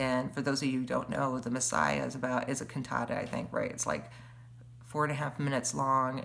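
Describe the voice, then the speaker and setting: Audible room echo can be heard. The voice belongs to a woman. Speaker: webcast host. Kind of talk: casual livestream monologue. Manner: halting, many fillers.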